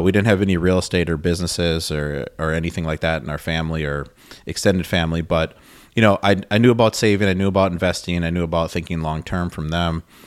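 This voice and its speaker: A man speaks very fast in a very deep, low voice with an American accent and fairly even intonation. The recording is very clean, with a silent background. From Wisconsin, Milwaukee area. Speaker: real estate investor. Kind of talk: interview.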